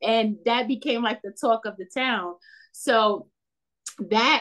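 A woman with a New York accent speaks at a very slow pace. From New York City, Bronx. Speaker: teacher and children's author. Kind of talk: interview. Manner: animated.

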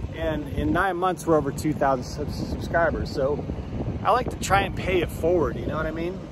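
Loud background noise runs through the clip. A man speaks in a dry sound with no echo. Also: moderate pace. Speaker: truck driver vlogger. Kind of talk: casual vlog monologue. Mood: upbeat, appreciative. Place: street. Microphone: phone near.

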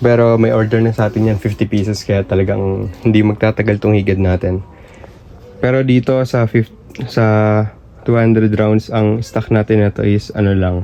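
Over noticeable background noise, a man speaks in a monotone, flat delivery with fairly low pitch. His loudness stays very even and his pace is moderate. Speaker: fireworks seller and YouTuber. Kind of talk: product showcase vlog. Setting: warehouse. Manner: halting, short of breath.

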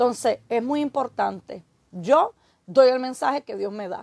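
A woman with a Puerto Rican accent speaks at a high pitch and a fairly slow pace, with lively intonation. The sound is dry with no echo, over a quiet background. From Puerto Rico, Aguada; Puerto Rico. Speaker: evangelist preacher. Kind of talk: sermon. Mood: earnest, admonishing. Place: home room. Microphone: phone near.

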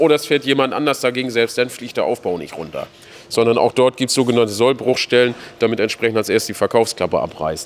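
A very fast pace from a man, with ordinary pitch variation. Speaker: sales director. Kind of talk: guided factory tour chat. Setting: workshop hall. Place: factory. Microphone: phone near.

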